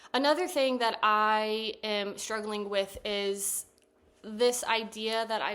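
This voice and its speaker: A soft-spoken woman of medium pitch with fairly even intonation, on a very clean recording with a silent background. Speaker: therapist and vlogger. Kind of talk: casual talking-to-camera vlog. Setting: sitting on couch at home. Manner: monotone.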